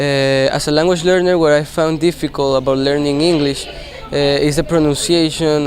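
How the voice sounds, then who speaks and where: A man with a Spanish accent, fairly high in pitch, at a moderate pace, over noticeable background noise. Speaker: English language student. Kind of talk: class presentation. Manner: hesitant, many fillers.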